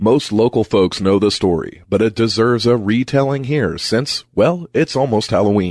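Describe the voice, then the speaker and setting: This is a normal speaking voice at a moderate pace, with very even loudness, ordinary pitch variation and hardly any pauses. The recording is very clean, with a silent background. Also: man, medium pitch for a man. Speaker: podcast host. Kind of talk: ghost story telling, spooky folklore narration.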